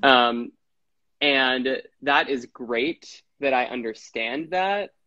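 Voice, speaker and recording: With an American accent, a man speaks at a very slow pace in a dry, close sound with no echo. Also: medium pitch for a man, ordinary pitch variation. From Wisconsin. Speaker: actor and health coach. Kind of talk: casual interview. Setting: video call.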